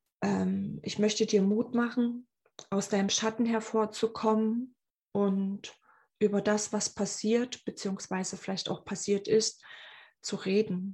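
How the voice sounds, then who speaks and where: A woman speaks at a very slow pace in a fairly high, somewhat breathy voice. Her intonation is monotone and flat, on a very clean recording with a silent background. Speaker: podcast host, abuse survivor. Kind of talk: personal monologue. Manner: hesitant, many filler sounds.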